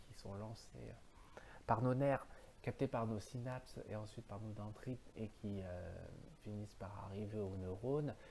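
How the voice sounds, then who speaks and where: A man's dark, mellow, fairly low voice at a moderate pace with fairly even intonation. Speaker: philosophy video host. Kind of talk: solo philosophical monologue. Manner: halting, many fillers.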